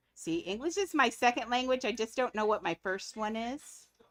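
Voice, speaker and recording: At a fairly slow pace, a woman speaks. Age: 50s. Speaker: gaming livestreamer. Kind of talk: casual livestream chat. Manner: rambling, relaxed.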